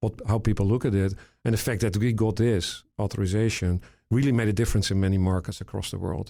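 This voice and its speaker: In a very clean recording with a silent background, a man with a European accent and a fairly low pitch speaks at a very fast pace with fairly even intonation. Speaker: retina surgeon and tech founder. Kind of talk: podcast interview.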